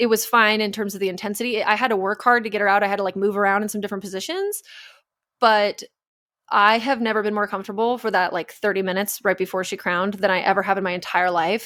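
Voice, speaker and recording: A woman races along at a very fast pace in a medium pitch, her tone bright, sharp and animated, in a very clean recording with a silent background. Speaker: podcast co-host, doctor. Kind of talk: casual chat.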